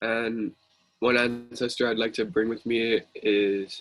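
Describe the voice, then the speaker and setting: In a monotone, a man speaks with flat intonation. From Hawaii, Kalihi (Oahu). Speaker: youth activist. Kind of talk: panel discussion.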